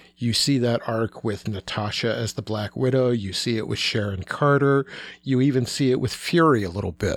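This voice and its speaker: This is a plain, everyday voice with ordinary pitch variation, delivered at a moderate pace. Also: man. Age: 50s. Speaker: pop culture writer. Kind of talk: casual chat.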